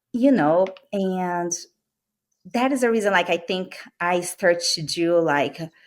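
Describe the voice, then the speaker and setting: Speaking with a Brazilian accent, a woman with a fairly low pitch uses lively intonation at a fairly slow pace, leaving long, frequent pauses. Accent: Brazilian accent, noticeable. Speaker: medical sales rep. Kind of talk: interview podcast.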